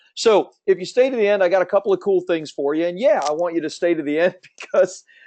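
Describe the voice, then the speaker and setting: A man at a fairly quick pace, dark and mellow in tone, with a dry, close sound, no echo and a quiet background. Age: 50s. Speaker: book publishing coach. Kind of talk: webinar sales presentation. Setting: webinar from his office. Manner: fast; energetic.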